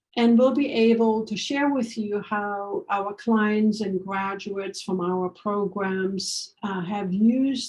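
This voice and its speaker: Somewhat breathy, a woman's voice comes through. Her intonation stays fairly even. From Germany. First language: German. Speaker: organizational change consultant. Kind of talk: workshop promo talk. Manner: hesitant with fillers.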